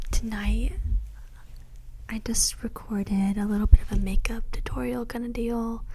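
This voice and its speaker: The speech moves at a moderate pace with long, frequent pauses and big swings in loudness, set against noticeable background noise. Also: woman. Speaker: ASMR content creator. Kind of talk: whispered ASMR story time. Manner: whispered, soft, casual storytelling.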